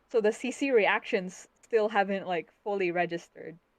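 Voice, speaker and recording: In a Philippine accent, a woman speaks at a moderate pace and medium pitch with ordinary pitch variation. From Philippines (Bisaya-speaking region). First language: Bisaya. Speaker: web fiction author. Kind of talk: live-stream interview. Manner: halting.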